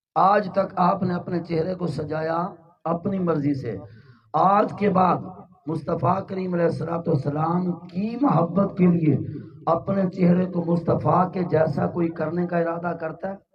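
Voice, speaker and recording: Speaking very slowly with fairly even intonation, a man uses a high pitch, and audible room echo surrounds the voice. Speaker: Islamic preacher. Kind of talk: sermon. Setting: religious gathering with audience and loudspeakers.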